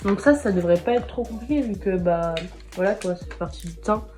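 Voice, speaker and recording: Over music in the background and audible room echo, a woman speaks at a moderate pace. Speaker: beauty youtuber. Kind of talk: makeup challenge vlog. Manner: poor articulation.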